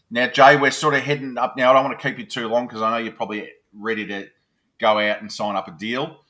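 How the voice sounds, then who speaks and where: Over a very clean, silent background, a man with a strong Australian accent and a bright, sharp tone speaks at a very fast pace and medium pitch, with fairly even intonation but big swings in loudness. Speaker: podcast host. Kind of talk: interview.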